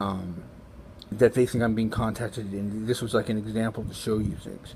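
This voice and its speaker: A man with an American accent, a fairly low pitch and a dark, mellow tone, somewhat breathy, with fairly even intonation. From Los Angeles, US. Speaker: vlogger sharing spiritual experiences. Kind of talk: personal testimony monologue. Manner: fast; halting, many fillers.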